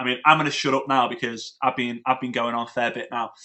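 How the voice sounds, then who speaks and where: A man with a British accent, speaking at a fairly quick clip. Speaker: network marketing trainer. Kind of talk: webinar presentation. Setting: online webinar. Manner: fast; animated.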